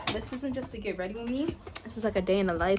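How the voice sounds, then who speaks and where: A woman at a medium pitch and a very fast pace, with ordinary pitch variation and noticeable background noise. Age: young. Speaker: college student vlogger. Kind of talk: casual vlog chat.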